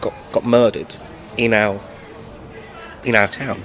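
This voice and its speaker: Against noticeable background noise, a man talks at medium pitch with a London accent. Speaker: singer-songwriter. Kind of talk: interview. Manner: halting, many fillers and repeats.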